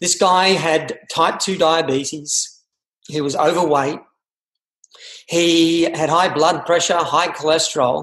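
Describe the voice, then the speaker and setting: Very slow, flat, monotone speech with long, frequent pauses comes through audible room echo over a quiet background. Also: man, high pitch for a man. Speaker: interview host. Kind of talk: podcast interview intro. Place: home room. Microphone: webcam.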